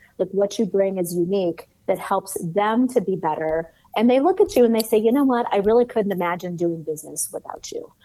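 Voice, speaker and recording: An unremarkable speaking voice with an American accent. It moves at a fairly quick pace with ordinary pitch variation. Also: woman, medium pitch for a woman. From US Midwest, Cleveland, Ohio. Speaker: sales author and consultant. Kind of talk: interview conversation.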